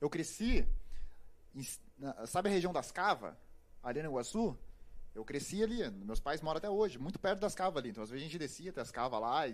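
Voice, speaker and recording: This is a man speaking. His pitch is fairly high. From Paraná, Brazil (grew up near Curitiba). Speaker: journalist and actor. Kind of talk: casual chat. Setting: live-streamed podcast studio.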